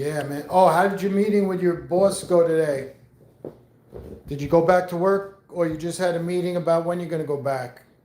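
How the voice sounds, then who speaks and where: Delivered at a moderate pace, the speech has fairly even intonation and audible room echo. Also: man, high pitch for a man. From New York. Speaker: live streamer. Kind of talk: casual chat. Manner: rambling casual, many fillers.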